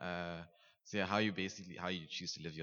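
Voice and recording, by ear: A man speaks with a low pitch and ordinary pitch variation. His tone is fairly bright.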